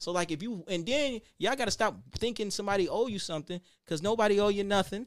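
Delivered in an American accent at a very fast pace, the speech has an animated tone and ordinary pitch variation. The recording is very clean, with a silent background. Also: man, high pitch for a man. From Buffalo, New York, US. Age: 30s. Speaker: rapper and entrepreneur. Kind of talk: casual interview chat.

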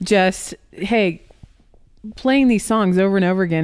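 This woman has an unremarkable speaking voice at medium pitch. She speaks with a General American accent and ordinary pitch variation. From US Pacific Northwest, Portland, Oregon. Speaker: mother of four, podcast guest. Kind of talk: casual chat.

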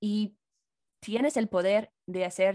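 A woman with an English accent is heard with a dry, close sound with no echo. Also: quiet background. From US, Chicago. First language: English (speaking Spanish). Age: 20s. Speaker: YouTuber and English teacher. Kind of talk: casual chat.

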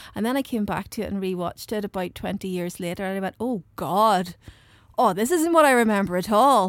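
A woman talks at a moderate pace with a normal speaking voice. Her fairly high pitch has lively intonation. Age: 40s. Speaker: film podcast co-host. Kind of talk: casual chat.

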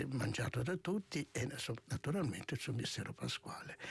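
Vocal fry runs through this man's medium-pitched voice, delivered at a moderate pace. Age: 60s. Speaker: monk and author. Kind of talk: radio interview. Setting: studio.

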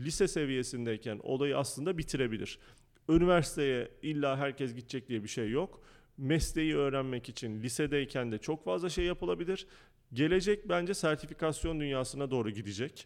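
A man with an ordinary speaking voice talks at a medium pitch and a moderate pace with lively intonation. The recording is very clean, with a silent background. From Turkey. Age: 30s. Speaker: school founder and educator. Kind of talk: interview.

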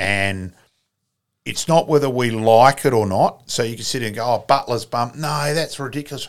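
With a South Australian accent, a man talks at a moderate pace with ordinary pitch variation, on a very clean recording with a silent background. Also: medium pitch for a man. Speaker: sports club volunteer and author. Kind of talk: casual interview storytelling. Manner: chatty, storytelling.

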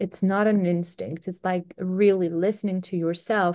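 A woman with a Greek accent speaks at a fairly slow pace. Her intonation stays fairly even, and the background is quiet. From Greece. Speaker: SEO marketing executive. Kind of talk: interview.

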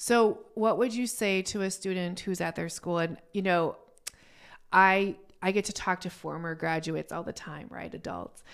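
A woman with a plain, everyday voice talks at a moderate pace and medium pitch, her intonation fairly even. Her loudness swings widely in a very clean recording with a silent background. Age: 40s. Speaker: podcast host. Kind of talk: interview; podcast intro.

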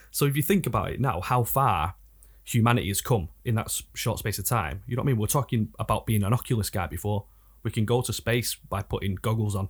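Somewhat breathy, a man talks at a very fast pace on a very clean recording with a silent background. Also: medium pitch for a man, ordinary pitch variation. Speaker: rapper. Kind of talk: casual chat. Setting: studio.

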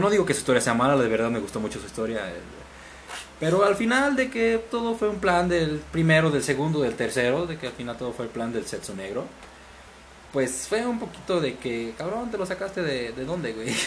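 Amid audible room echo and noticeable background noise, a man talks at a fairly quick pace with very wide pitch swings. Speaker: podcast guest. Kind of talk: casual chat.

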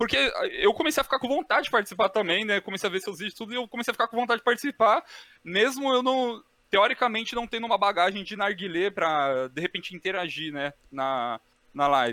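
Very wide pitch swings mark speech delivered at a very fast pace. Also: man, high pitch for a man. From Brazil, São Paulo. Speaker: co-host. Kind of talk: casual chat.

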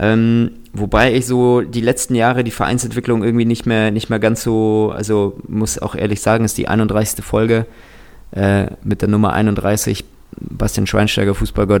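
A man at a moderate pace with fairly low pitch and monotone, flat intonation. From Kazakhstan. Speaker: app co-founder. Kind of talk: casual chat. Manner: halting, repeats words.

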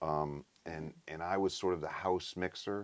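Very deep, low male voice, intonation fairly even. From upstate New York, Troy area. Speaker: session bassist and producer. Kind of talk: casual interview chat. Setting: studio control room.

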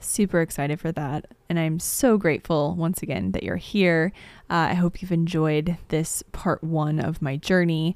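In a very clean recording with a silent background, a woman with a Midwestern American accent speaks at a moderate pace, using a fairly low pitch and ordinary pitch variation. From US Midwest, southern Illinois near St. Louis. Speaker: podcast host, astrologer and healer. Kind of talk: personal storytelling monologue. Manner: frequent filler words and hesitations.

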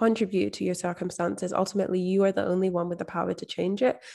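A woman speaks with a Scottish accent in a dark, mellow tone. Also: very clean recording, silent background. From Scotland. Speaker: mindset and manifestation coach. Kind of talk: interview.

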